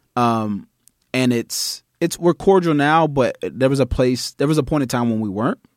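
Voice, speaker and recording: In a normal speaking voice with an American accent, a man talks at a moderate pace with lively intonation, the sound dry and close with no echo. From Nashville, Tennessee (US South). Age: 20s. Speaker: podcast guest. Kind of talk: casual chat.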